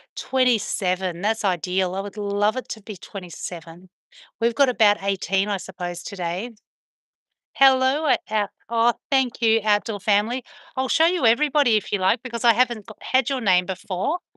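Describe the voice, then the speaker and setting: Recorded with a dry, close sound with no echo and a quiet background, a woman with an Australian accent speaks at a fairly high pitch and a moderate pace, her tone bright and sharp and her pitch variation ordinary. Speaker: dog owner live streamer. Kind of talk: casual live stream chat. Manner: chatty.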